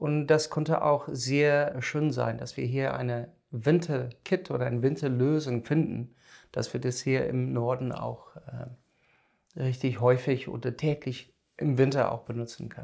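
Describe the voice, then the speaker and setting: Delivery is fairly slow. The melody of the speech holds fairly even. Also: man, medium pitch for a man. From South Africa. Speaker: biogas engineer. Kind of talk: casual interview. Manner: halting.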